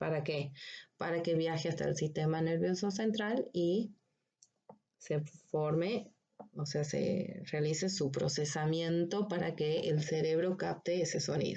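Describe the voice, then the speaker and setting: A woman talks fairly slowly with a dark, mellow tone. Her pitch is fairly low, with ordinary variation. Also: very even loudness. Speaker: veterinary anatomy lecturer. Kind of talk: recorded lecture. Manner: slow, deliberate.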